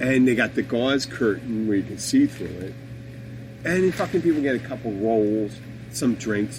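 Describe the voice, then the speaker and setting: An animated man speaks at a moderate pace and medium pitch. His pitch varies in an ordinary way over noticeable background noise. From Philadelphia area, US Northeast. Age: 50s. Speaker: podcast host. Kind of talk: casual chat. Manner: halting.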